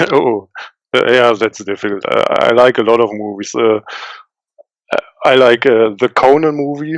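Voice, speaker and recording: A man with a German accent speaks at a moderate pace and medium pitch, with ordinary pitch variation. Long, frequent pauses break up his speech, and the sound is dry and close with no echo. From western Germany. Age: 30s. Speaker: indie game developer. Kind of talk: interview. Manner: halting, many fillers.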